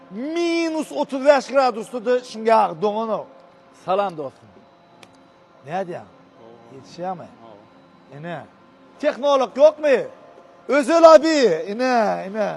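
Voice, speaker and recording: The speaker goes at a very slow pace with long, frequent pauses, very wide pitch swings and big swings in loudness. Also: man, extremely high pitch for a man. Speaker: video blogger. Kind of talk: casual interview.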